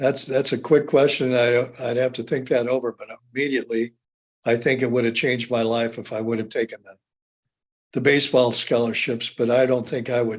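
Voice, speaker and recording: A man with a Midwestern American accent, a medium pitch, monotone, flat intonation and a fairly quick pace. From Indiana. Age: 70s. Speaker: former athlete and physical therapy clinic owner. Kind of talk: interview. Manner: halting, frequent word repetition.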